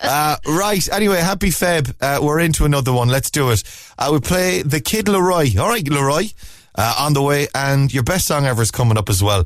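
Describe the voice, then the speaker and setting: This speaker has a Cork accent and a fairly quick pace. Pitch swings very widely while loudness stays very even. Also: man, fairly high pitch for a man. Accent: Cork Irish. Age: 40s. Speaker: radio host. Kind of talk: casual chat. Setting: studio. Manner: animated.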